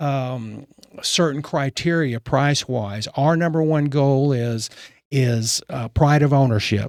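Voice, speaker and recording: The pace is very slow, in a Texan accent. The recording is very clean, with a silent background. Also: man. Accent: Texan American. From Texas (Fort Worth, Richardson). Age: 70s. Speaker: real estate broker. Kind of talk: casual interview.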